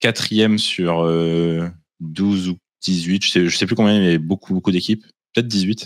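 A man speaks with a very deep, low pitch and fairly even intonation. The background is quiet, and the sound is dry with no echo. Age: 30s. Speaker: tabletop wargaming champion; guest. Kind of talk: casual chat. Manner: hesitant, many fillers. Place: home room. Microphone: video call.

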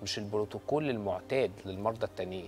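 With an Egyptian accent, a man talks at a moderate pace with ordinary pitch variation. Light background noise can be heard. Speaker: gynecologist; guest. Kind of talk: TV talk show interview. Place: studio. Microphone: lapel.

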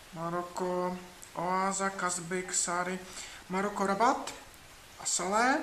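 A man's raised, projected voice, high in pitch with ordinary pitch variation, at a very slow pace with long, frequent pauses, amid noticeable background noise and audible room echo. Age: 30s. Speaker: writer and traveler vlogger. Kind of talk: dating self-presentation video; travel video narration.

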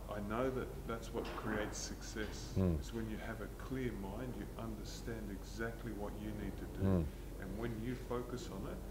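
Loud background noise sits behind the recording. A man talks at a moderate pace. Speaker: guest. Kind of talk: interview answer. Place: gym. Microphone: lapel.

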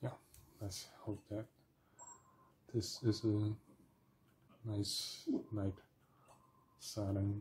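A man at a fairly low pitch, very slow and somewhat breathy, in a monotone, flat intonation with long, frequent pauses and light background noise. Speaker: gamer playing and commentating a video game. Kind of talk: casual gameplay commentary. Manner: halting, thinks aloud with fillers. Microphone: phone near.

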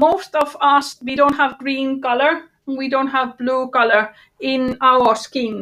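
Against a quiet background, a woman speaks in a high pitch at a fairly slow pace. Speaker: workshop trainer. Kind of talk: online workshop tutorial. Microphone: video call.

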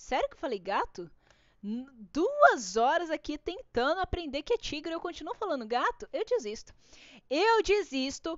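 A woman's voice sits at an extremely high pitch, animated in tone with very wide pitch swings. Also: moderate pace. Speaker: art YouTuber teaching drawing. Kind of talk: live-stream drawing tutorial.

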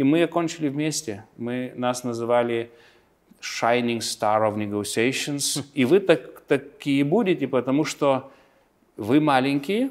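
Speaking very slowly against a quiet background, a man with a Lithuanian accent uses a fairly high pitch and ordinary pitch variation. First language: Lithuanian (speaking Russian). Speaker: politician. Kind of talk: interview; interview answer. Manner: halting. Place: office. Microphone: lapel.

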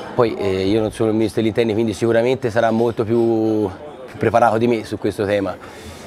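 Over noticeable background noise, a man talks at a very fast pace. His medium-pitched voice stays monotone and flat. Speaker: local politician. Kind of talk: TV interview.

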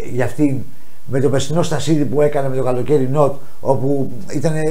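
At a fairly quick pace, a man talks. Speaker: show host. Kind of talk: talk show commentary. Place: studio. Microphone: lapel.

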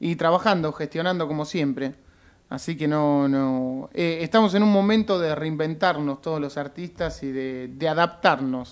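A man with a Rioplatense accent, fairly high in pitch, with ordinary pitch variation, at a fairly slow pace, against a quiet background. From Argentina. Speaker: actor and musician; actor. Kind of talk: radio interview. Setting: radio studio. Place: studio. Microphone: studio mic.

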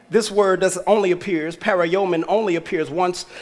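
With an animated tone, a man speaks at a moderate pace in a high pitch. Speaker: pastor. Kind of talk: sermon. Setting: church with congregation. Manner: animated, exhorting the congregation; conversational, preacherly call-and-response. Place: church. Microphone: headset.

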